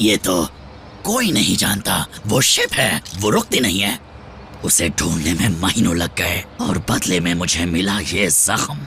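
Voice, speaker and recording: Clear background noise sits behind a man doing a put-on character voice. He speaks fairly slowly in a very deep, low pitch. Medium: fan dub. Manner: whiny, sly, self-pitying.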